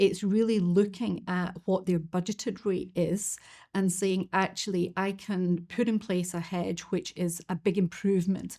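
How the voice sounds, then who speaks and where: Speaking with a Scottish accent, a woman has medium pitch and a dark, mellow tone. Her pace is fairly slow and her intonation monotone and flat. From Scotland. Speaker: financial markets expert. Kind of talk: webinar presentation. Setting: online webinar.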